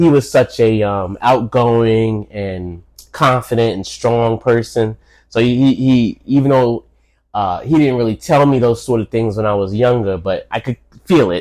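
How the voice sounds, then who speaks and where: A man at medium pitch, moderate pace, and ordinary pitch variation. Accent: New York. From New York City. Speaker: host's father, podcast guest. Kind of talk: casual interview. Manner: halting, repeats words.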